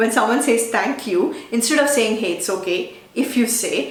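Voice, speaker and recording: A woman with a Telugu accent talks at a fairly quick pace, her fairly high voice rising and falling in lively intonation. Noticeable background noise and audible room echo fill the recording. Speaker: digital marketing YouTuber. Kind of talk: tutorial.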